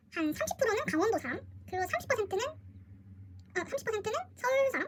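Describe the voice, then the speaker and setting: Her pitch is extremely high and swings very widely as the woman speaks. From Busan, South Korea. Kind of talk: casual Q&A vlog.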